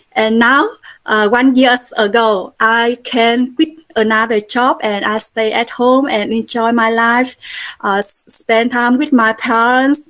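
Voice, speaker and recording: A woman in a Vietnamese accent, with a fairly high pitch, fairly even intonation and a very slow pace. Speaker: Buddhist nun and network marketer. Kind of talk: testimony. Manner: halting, many fillers.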